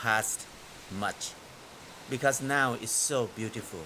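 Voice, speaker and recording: Background noise is noticeable. A man talks at a fairly slow pace. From northeastern Thailand. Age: 60s. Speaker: farmer. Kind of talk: interview. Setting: outdoors in rain.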